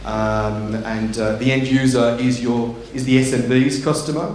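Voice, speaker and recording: A man's medium-pitched voice, fairly even in intonation at a moderate pace, with audible room echo and noticeable background noise. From England. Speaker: tech company executive. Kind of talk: conference talk. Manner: halting, many fillers.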